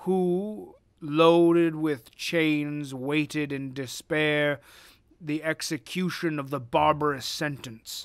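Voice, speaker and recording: A man puts on a character voice at a fairly high pitch. He delivers it at a very slow pace. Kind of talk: dramatic reading of gothic prose. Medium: read story. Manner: formal, measured.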